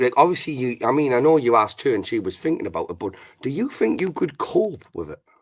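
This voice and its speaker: Talking at a very fast pace, a man with a fairly high pitch uses lively intonation and vocal fry, his loudness swinging widely. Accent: British. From Britain. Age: 40s. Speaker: livestream host. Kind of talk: casual chat.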